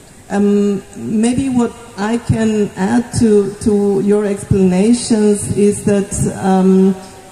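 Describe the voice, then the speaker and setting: A woman speaks at a very slow pace in a medium pitch, with very even loudness and fairly even intonation. Noticeable background noise is present. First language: not Indonesian (speaking Indonesian). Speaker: development agency manager. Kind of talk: formal speech at site visit. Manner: halting, many fillers.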